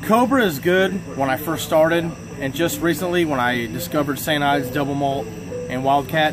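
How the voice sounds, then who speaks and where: A man talks at a fairly quick pace with ordinary pitch variation. Music sounds in the background. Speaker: vlogger being interviewed. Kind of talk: casual vlog chat. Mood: joking, relaxed. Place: garage. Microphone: phone near.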